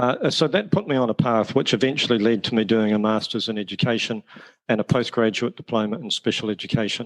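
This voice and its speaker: A man with a New Zealand accent talks at a very fast pace with ordinary pitch variation, in a dry, close sound with no echo. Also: medium pitch for a man. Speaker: teacher and education author. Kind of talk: podcast interview.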